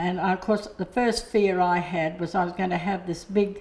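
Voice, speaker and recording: Over noticeable background noise, a woman with an Australian accent talks at a medium pitch and a moderate pace. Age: 70s. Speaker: hearing aid customer. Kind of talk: testimony. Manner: halting.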